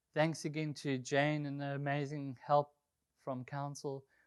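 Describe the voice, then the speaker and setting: Speaking at a moderate pace with a South African accent, the man has a fairly high pitch, and the background is quiet. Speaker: golf course superintendent. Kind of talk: presentation. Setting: conservation group meeting. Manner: casual, with frequent fillers.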